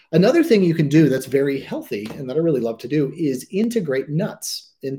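The voice is somewhat breathy, with lively intonation. Its pace is moderate. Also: man. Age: 40s. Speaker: chef and author. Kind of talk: online presentation. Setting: home kitchen studio, online event.

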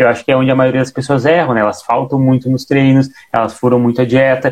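Speech here comes at a very fast pace. It is a man talking. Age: 20s. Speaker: podcast co-host and personal trainer. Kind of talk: casual chat. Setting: live stream on Instagram.

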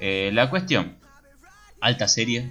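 Man in a Rioplatense accent, ordinary pitch variation, music playing in the background. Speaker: podcast co-host. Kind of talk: casual chat.

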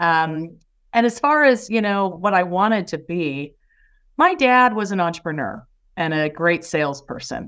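A woman with an American accent and a plain, everyday voice, fairly low in pitch, with lively intonation, a moderate pace and a very clean recording over a silent background. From US Midwest, Indiana. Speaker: business executive. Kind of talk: interview.

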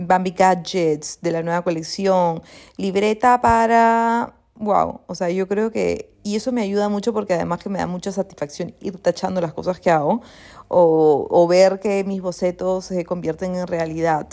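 On a very clean recording with a silent background, a woman speaks at a fairly slow pace with fairly even intonation and a dark, mellow tone. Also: medium pitch for a woman. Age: 30s. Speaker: life coach and podcaster. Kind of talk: reflective solo monologue. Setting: at home, seated comfortably. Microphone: not using her usual pro microphone.

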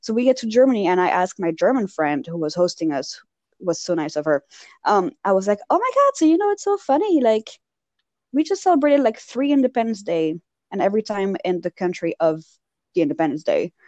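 A woman speaks at a fairly quick pace with a Parisian French accent, her pitch swinging very widely, in a dry, close recording with no echo. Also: medium pitch for a woman. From Belgium, raised in France (Paris). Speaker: podcast co-host. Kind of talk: casual chat. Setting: remote call. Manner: animated.

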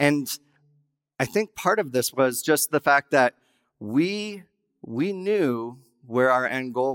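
A man with a Western US accent, medium pitch and lively intonation, in a dry, close sound with no echo. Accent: Western American. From Wyoming. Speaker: guest pastor. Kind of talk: sermon.

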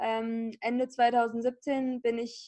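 Over a quiet background, a woman speaks at a high pitch. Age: 20s. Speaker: podcaster and online magazine founder. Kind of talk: interview.

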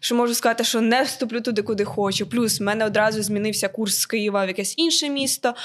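A woman talks at a very fast pace. Her pitch is fairly high and her intonation fairly even. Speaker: university student and florist. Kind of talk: casual chat.

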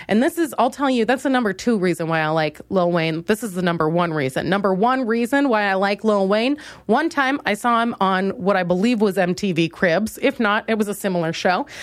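In an American accent, a woman with a normal speaking voice and medium pitch talks at a fairly quick pace with lively intonation and hardly any pauses. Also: very clean recording, silent background. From Minnesota. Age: 20s. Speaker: comedian. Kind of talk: solo comedic monologue.

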